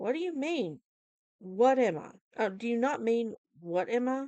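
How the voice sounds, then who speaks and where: A woman's put-on character voice, fairly high in pitch and growling, at a moderate pace. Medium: read story. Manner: cold, menacing.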